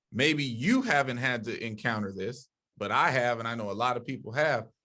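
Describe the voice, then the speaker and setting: With an ordinary speaking voice, a man talks at a moderate pace and medium pitch, his pitch varying in an ordinary way against a quiet background. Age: younger than 60s. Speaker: podcast panelist. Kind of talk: heated debate.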